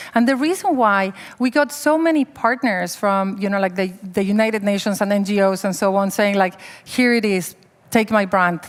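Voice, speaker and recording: In a strong Mexican accent, a woman speaks with an animated tone and lively intonation. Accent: heavy Mexican Spanish. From Mexico. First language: Spanish. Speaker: humanitarian worker. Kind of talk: panel discussion.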